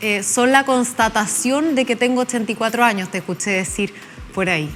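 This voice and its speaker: A woman's voice sits at a fairly high pitch with ordinary variation. Music plays in the background. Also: moderate pace. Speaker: TV interviewer. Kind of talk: interview.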